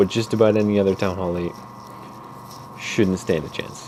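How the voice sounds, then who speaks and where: Noticeable background noise sits behind a man speaking at a fairly low pitch. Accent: American. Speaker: gaming tutorial maker. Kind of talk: tutorial. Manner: halting, many fillers.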